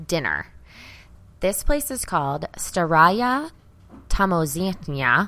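Speaking very slowly with long, frequent pauses, a woman with an American accent uses a fairly low pitch and very wide pitch swings, captured in a very clean recording with a silent background. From US South, Arkansas. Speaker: comedy podcast co-host. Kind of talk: casual chat.

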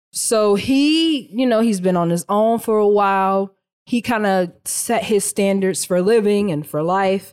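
With a plain, everyday voice, a woman talks at a medium pitch and a fairly slow pace, keeping ordinary pitch variation and very even loudness. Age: 20s. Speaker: podcast co-host. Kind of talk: casual chat.

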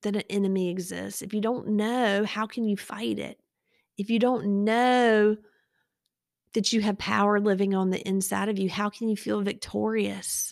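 On a very clean recording with a silent background, a woman with a Southern US accent speaks at a medium pitch and a fairly slow pace, in monotone, flat intonation with long, frequent pauses. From eastern North Carolina. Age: 40s. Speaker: podcast host, pediatric dentist. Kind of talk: faith testimony monologue. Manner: casual, conversational.

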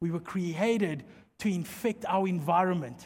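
A man's animated tone with a South African accent. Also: very clean recording, silent background. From South Africa, Mpumalanga. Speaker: pastor. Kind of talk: sermon.

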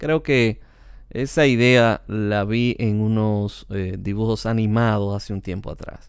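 Here is a man with an ordinary speaking voice. He talks at a fairly slow pace and a medium pitch. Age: 40s. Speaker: podcast host. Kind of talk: personal memoir narration.

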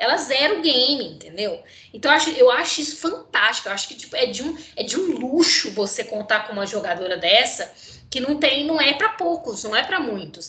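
A woman's raised, projected voice, high in pitch with very wide pitch swings, amid audible room echo and noticeable background noise. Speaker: sports podcast co-host. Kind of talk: casual chat. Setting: remote recording via computer.

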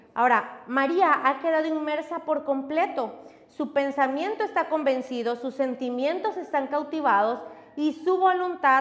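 A woman talks very slowly with lively intonation, against noticeable background noise and audible room echo. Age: 30s. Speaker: pastor. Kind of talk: sermon.

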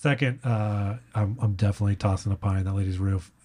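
A man's fairly low, somewhat breathy voice with a dark, mellow tone, fairly quick pace and fairly even intonation, on a very clean recording with a silent background. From Texas (San Antonio). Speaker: comedian. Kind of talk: casual chat.

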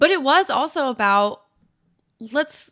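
The recording is very clean with a silent background as a woman speaks in a bright, sharp tone. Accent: American. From US Midwest, rural Indiana and Kentucky. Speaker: sports podcast host and writer. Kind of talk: casual chat.

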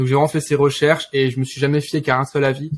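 A man's fairly high, monotone voice with flat intonation at a very fast pace. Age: 20s. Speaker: engineering student and trader. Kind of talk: interview.

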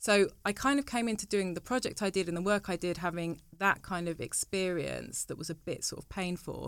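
Speaking in a southern English accent at a medium pitch, a woman moves at a fairly quick pace with hardly any pauses, her pitch varying in an ordinary way. Her loudness swings widely, and the very clean recording has a silent background. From England, Cambridge, with much time in southern Italy. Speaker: university lecturer and researcher. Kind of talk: interview conversation.

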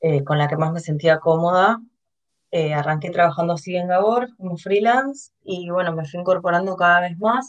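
Using a plain, everyday voice, the speaker talks at a moderate pace with ordinary pitch variation. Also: woman, fairly low pitch for a woman. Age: 20s. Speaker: designer and e-commerce manager. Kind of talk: interview.

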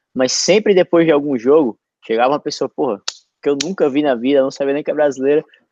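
The speech runs at a very fast pace, recorded with a dry, close sound and no echo. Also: man. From Natal, northeastern Brazil. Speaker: podcast host, former college soccer player. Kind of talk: casual chat. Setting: video call livestream.

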